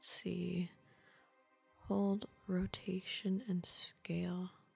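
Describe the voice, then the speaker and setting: The voice is soft-spoken and relaxed, moving at a very slow pace. Music plays in the background. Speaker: ASMR gaming streamer. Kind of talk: casual gameplay commentary, thinking aloud. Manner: soft-spoken, relaxed.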